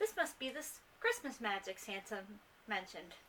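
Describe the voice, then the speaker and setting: Using a put-on character voice, a woman speaks fairly high at a moderate pace over clear background noise. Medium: read story.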